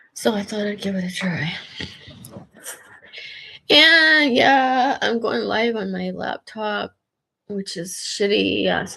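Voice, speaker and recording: A woman speaks at a very slow pace. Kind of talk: casual livestream rant. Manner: emotional, agitated.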